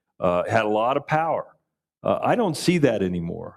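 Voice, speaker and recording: At a moderate pace and fairly low pitch, a man speaks in a plain, everyday voice on a very clean recording with a silent background. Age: 60s. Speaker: political panelist, Democrat. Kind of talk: panel discussion.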